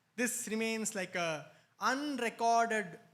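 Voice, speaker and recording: A man with a non-native accent speaks at a high pitch with lively intonation. The recording is very clean, with a silent background. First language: not Telugu. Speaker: spiritual speaker. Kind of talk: spiritual talk.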